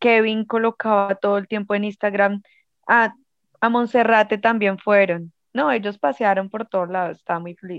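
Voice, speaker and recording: A woman with a normal speaking voice talks at a moderate pace, her medium pitch carried on fairly even intonation. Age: 20s. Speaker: fan club leader. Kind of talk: casual interview.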